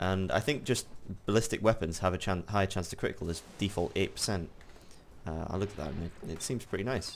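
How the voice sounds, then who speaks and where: Delivered at a very fast clip, the speech shows ordinary pitch variation. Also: man. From northeast England. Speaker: gaming video creator. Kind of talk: gameplay commentary. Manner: casual, thinking aloud.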